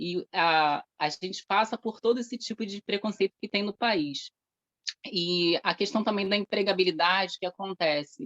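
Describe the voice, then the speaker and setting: The sound is dry and close with no echo as a woman speaks at a moderate pace. Her medium pitch shows ordinary variation. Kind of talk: testimony at event.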